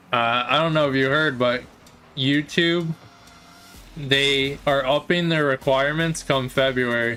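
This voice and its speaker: A man speaks fairly slowly in a monotone, flat intonation, with long, frequent pauses. His loudness stays very even while music plays in the background. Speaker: streamer and esports caster. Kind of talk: casual livestream chat. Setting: livestream. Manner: casual, rambling with fillers.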